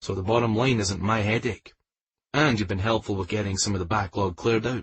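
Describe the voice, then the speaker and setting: In a put-on character voice, a man talks soft-spoken yet growling and rumbling, fairly low in pitch, at a fairly quick pace with fairly even intonation. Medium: read story. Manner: soft-spoken, quiet.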